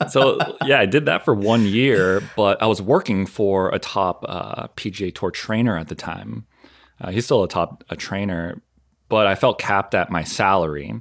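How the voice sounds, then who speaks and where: This man has a fairly low pitch, ordinary pitch variation and an American accent, talking at a moderate pace in an unremarkable speaking voice. The recording is very clean, with a silent background. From US Northeast, southern Maine. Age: 30s. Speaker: massage therapist and fitness content creator. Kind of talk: casual interview chat.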